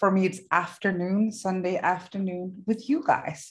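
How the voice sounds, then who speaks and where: Against a quiet background, a woman with a Danish accent speaks at a medium pitch with fairly even intonation. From Denmark. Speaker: therapist trainer. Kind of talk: workshop presentation. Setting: video call from a hotel room.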